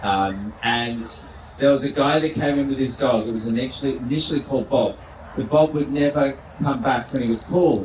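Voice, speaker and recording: In an Australian accent, a man talks at a fairly quick pace with medium pitch and ordinary pitch variation. Noticeable background noise and audible room echo are present. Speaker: vet. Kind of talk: live show chat. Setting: stage with audience.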